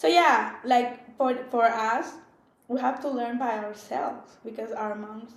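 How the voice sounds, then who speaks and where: In a room with audible echo, a woman speaks at a fairly slow pace with big swings in loudness. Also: fairly high pitch for a woman, ordinary pitch variation. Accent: Spanish. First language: Spanish. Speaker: podcast co-host. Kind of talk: casual chat.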